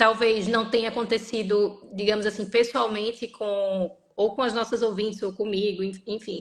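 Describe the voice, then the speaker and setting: A woman's fairly high voice in a Recife accent, with fairly even intonation and a fairly slow pace. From northeastern Brazil, Recife. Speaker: lawyer. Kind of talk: interview on a live stream. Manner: halting, many fillers.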